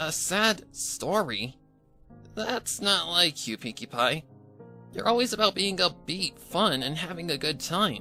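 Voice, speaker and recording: A man's put-on character voice, high-pitched, with very wide pitch swings, a fairly slow pace and faint music in the background. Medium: read story. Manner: brash, casual.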